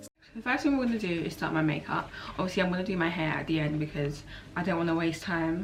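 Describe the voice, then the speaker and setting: A woman with a fairly low voice talks very fast, with audible room echo and noticeable background noise. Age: 20s. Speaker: beauty youtuber. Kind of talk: casual chat. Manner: relaxed.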